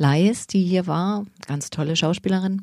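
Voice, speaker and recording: A woman's fairly low, dark and mellow voice with lively intonation, at a moderate pace. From Berlin (Weißensee), eastern Germany. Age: 50s. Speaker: stage actor and drama teacher. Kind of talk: casual interview chat.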